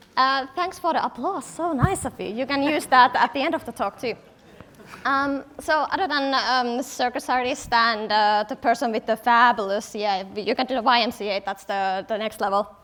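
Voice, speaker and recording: A high-pitched woman speaks at a moderate pace with ordinary pitch variation. Noticeable background noise can be heard. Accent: Finnish. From Finland, Helsinki. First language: Finnish. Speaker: product designer, conference speaker. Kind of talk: conference talk. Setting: stage with audience.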